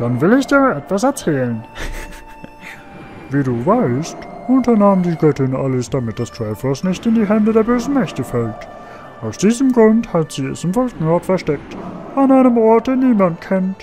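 In a put-on character voice of middle pitch, with very wide pitch swings, the speaker goes at a moderate pace with long, frequent pauses while clear music plays in the background. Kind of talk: solemn put-on voice. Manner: grave, ceremonious.

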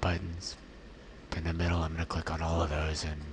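Through noticeable background noise, a soft-spoken man with a very deep, low pitch talks at a moderate pace in a monotone, flat intonation. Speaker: ventilator-dependent quadriplegic. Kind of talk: software tutorial demo.

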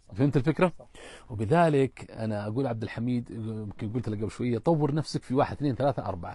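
A man talks at a fairly quick pace in a dark, mellow, somewhat breathy tone. The sound is dry, with no echo. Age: 50s. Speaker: businessman; guest. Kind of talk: interview. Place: tent. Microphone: lapel.

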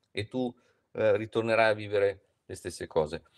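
Against a quiet backdrop, a man's intonation moves in a lively way. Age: 50s. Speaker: philosophy professor; philosophy lecturer. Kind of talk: lecture. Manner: halting. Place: home room. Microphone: video call.

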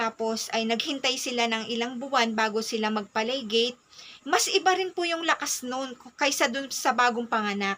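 At a moderate pace, the voice comes across with a bright, sharp tone. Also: woman. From Philippines. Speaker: mom vlogger. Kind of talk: personal advice talk. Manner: polite. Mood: earnest, advising. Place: home room. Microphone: phone near.

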